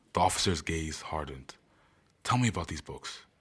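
On a very clean recording with a silent background, a man speaks at a fairly quick pace with vocal fry. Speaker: podcaster and author. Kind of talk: promo intro, then audiobook narration, then casual outro; dramatic narration of a heist story chapter. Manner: animated, casual and chatty in intro and outro; dramatic, voicing characters in a suspenseful tone.

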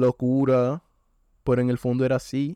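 A man's medium-pitched voice with a dark, mellow tone, dry and close with no echo, over a quiet background. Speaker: podcast host. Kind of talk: casual monologue. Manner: stumbling.

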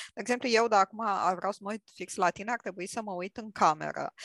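A woman with an ordinary speaking voice talks at a fairly quick pace with ordinary pitch variation. The sound is dry and close with no echo, and the background is quiet. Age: 40s. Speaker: IT manager and clinical psychologist. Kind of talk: casual discussion.

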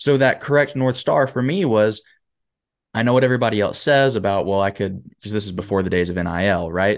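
With an American accent, a man speaks in a normal speaking voice, fairly low in pitch with ordinary pitch variation, against a quiet background. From US South, Huntsville, Alabama. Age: 20s. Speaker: motivational speaker and performance coach. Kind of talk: casual interview chat. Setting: video call.

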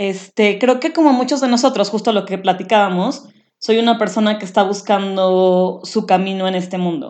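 A woman with a plain, everyday voice speaks at a medium pitch and moderate pace with ordinary pitch variation against a quiet background. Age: 30s. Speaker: podcast co-host. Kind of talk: casual chat.

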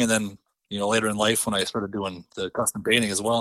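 A man talks at a fairly quick pace with a bright, sharp tone and an Upper Midwest accent. The recording is very clean with a silent background, and the sound is dry and close with no echo. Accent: Upper Midwest American. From central North Dakota. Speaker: custom lure painter and angler. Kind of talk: casual interview chat.

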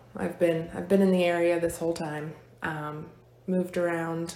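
There is audible room echo around a woman with an American accent, whose dark, mellow tone sits at a fairly low pitch as she speaks at a moderate pace with fairly even intonation. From Virginia, Fluvanna County. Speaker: hair and makeup stylist, salon owner. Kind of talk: casual interview.

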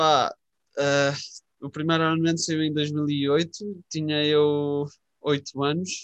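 A man with a fairly high pitch speaks in a monotone, flat intonation. Long, frequent pauses break up his speech. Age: 20s. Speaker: podcast co-host. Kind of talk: casual chat.

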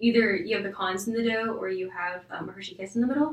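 Over noticeable background noise, a woman with a medium pitch talks at a very fast pace. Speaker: young adult church group member. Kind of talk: casual chat.

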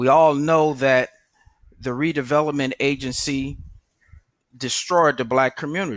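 Talking at a fairly slow pace with long, frequent pauses, a man with an American accent keeps a fairly high pitch. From San Francisco, California. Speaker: political candidate. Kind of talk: campaign address.

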